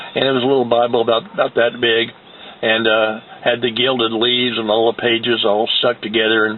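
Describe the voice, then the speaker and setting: A man with an American accent talks at a fairly quick pace in a monotone, flat delivery at medium pitch, with noticeable background noise. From US Midwest, Indiana. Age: 70s. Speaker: war veteran. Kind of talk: testimony. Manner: halting, many fillers.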